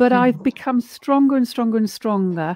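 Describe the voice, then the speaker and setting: A woman speaks with a high pitch, ordinary pitch variation and a dark, mellow tone. The sound is dry with no echo, over a quiet background. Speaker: energy healer and coach; coach. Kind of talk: casual chat. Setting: video call. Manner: loud. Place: home room.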